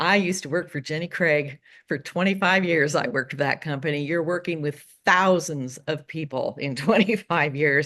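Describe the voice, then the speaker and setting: Over a quiet background, a woman with an American accent speaks at a very deep, low pitch with ordinary pitch variation. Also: moderate pace. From Oregon, US. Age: 60s. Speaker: romance novelist. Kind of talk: interview.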